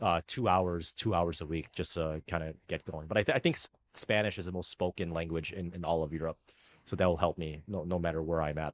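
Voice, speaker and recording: A man's very deep, low voice with an American accent, fairly quick and fairly even in intonation, dry and close with no echo on a very clean recording against a silent background. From United States. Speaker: tennis coach and YouTuber. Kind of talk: casual interview chat. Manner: halting, stammering.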